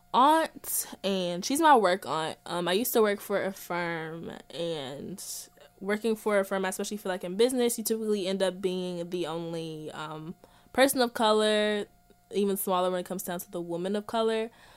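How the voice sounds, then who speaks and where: A woman with a normal speaking voice at a medium pitch, moderate pace, ordinary pitch variation and big swings in loudness. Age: 20s. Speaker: podcast guest, host's younger cousin. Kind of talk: casual chat.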